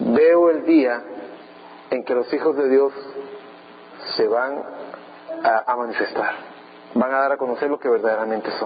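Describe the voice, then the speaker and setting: A fairly high-pitched man at a fairly slow pace, with long, frequent pauses, ordinary pitch variation and noticeable background noise. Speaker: pastor. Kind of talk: sermon.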